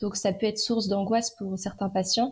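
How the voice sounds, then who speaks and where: The voice is somewhat breathy and delivered in a flat, monotone intonation. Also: woman. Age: 20s. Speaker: endoscopy nurse. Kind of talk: interview.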